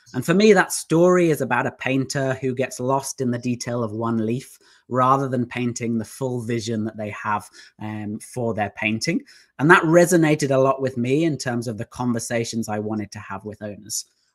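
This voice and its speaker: A man with an English accent at medium pitch and a moderate pace, on a very clean recording with a silent background. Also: ordinary pitch variation. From southeast England, near London. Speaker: business founder. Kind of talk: interview.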